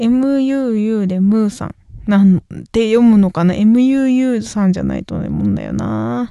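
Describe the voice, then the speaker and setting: A woman is mumbling. She speaks at a fairly slow pace. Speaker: singer and podcast host. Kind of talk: solo casual talk. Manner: mumbling, poor articulation.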